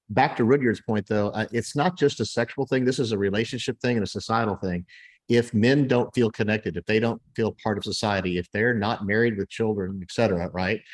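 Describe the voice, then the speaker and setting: In an American accent, a man with an unremarkable speaking voice talks at a fairly quick pace and medium pitch, with ordinary pitch variation against a quiet background. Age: 60s. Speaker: podcast host. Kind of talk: podcast discussion.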